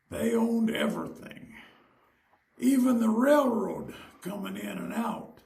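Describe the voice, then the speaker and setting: A man with an American accent speaks with long, frequent pauses. Audible room echo surrounds his voice. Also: fairly slow pace, big swings in loudness. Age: 90s. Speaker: retired miner. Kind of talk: oral history interview.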